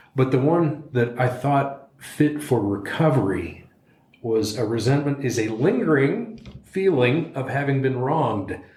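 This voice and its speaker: The speech moves at a fairly slow pace with lively intonation. Audible room echo surrounds the voice. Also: man, medium pitch for a man. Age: 60s. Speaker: person in long-term addiction recovery. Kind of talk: casual discussion. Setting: studio.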